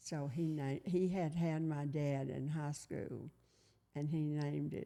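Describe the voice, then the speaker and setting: A woman with a Tennessee accent, very deep and low in pitch, dark and mellow in tone, fairly slow, with fairly even intonation. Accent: Southern US (Tennessee). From US South, Collierville, Tennessee. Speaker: retired teacher. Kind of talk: oral history interview.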